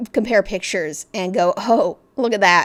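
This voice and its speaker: The recording is very clean, with a silent background. Pitch varies in an ordinary way. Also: woman. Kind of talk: casual talk to camera. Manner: hesitant, many filler words.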